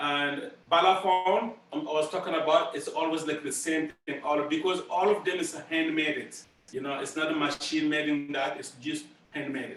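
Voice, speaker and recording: Amid noticeable background noise and audible room echo, a man speaks in a Burkinabe accent. His pitch is fairly high, his intonation fairly even, and his pace moderate. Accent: West African (Burkinabe) English. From Burkina Faso. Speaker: master drummer. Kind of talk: school presentation Q&A. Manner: halting, many repeats and fillers.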